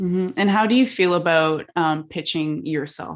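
A woman talks with vocal fry. The recording is very clean, with a silent background. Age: 20s. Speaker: podcast host. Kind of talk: interview.

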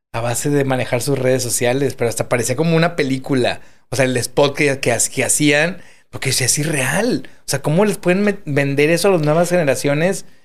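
Speaking at a moderate pace, the man has a fairly high pitch and ordinary pitch variation, with audible room echo around him. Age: 40s. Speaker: podcast host. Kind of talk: interview.

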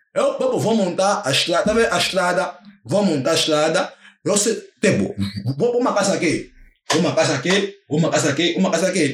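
A high-pitched man speaks at a moderate pace with very even loudness. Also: ordinary pitch variation. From Angola, Viana (Luanda). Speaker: paper model artist. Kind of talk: casual chat.

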